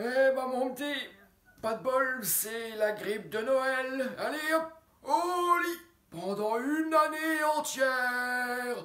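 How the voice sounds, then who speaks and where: The speaker uses a put-on character voice with a high pitch. The pace is very slow. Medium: read story. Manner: familiar, folksy.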